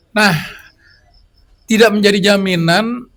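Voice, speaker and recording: Moderately paced speech from a man, high-pitched, his intonation fairly even. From Minangkabau heritage (West Sumatra). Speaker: musician, singer-songwriter. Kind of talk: interview discussion. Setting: live event with audience. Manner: halting, searching for words.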